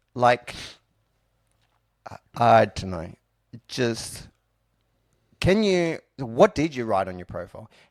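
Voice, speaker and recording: A man mumbling at medium pitch, at a very slow pace with long, frequent pauses and very wide pitch swings, in dry, close sound with no echo. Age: 40s. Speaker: podcast host. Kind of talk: casual chat.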